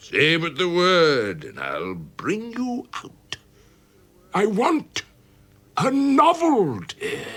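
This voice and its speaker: A man does a put-on character voice with a high pitch and big swings in loudness. He goes at a very slow pace with long, frequent pauses. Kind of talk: radio drama narration. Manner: exuberant, theatrical.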